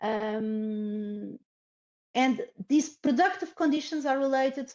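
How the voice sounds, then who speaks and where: A woman speaks with a Portuguese accent. Her intonation is lively. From Portugal. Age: 50s. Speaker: professor. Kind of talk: lecture. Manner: halting.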